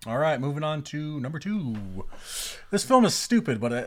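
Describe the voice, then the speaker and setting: In a very clean recording with a silent background, a man speaks at a moderate pace with lively intonation. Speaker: podcast co-host. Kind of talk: casual chat.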